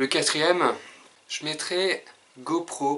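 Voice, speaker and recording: A man talks in a strong French accent. Noticeable background noise runs behind him. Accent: strong French accent when pronouncing English. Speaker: personal development youtuber. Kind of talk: casual video monologue. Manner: hesitant, many filler sounds.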